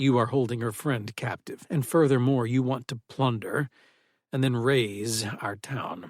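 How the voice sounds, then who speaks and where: A man performs a put-on character voice. His pitch sits at a medium level. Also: moderate pace. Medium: read story. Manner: formal, measured, calm.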